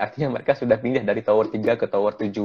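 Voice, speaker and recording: A man's medium-pitched voice sounds against a quiet background. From Aceh, Indonesia. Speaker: doctor, COVID-19 volunteer; guest. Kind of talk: online interview. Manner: halting, many fillers. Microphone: choppy connection; earbuds.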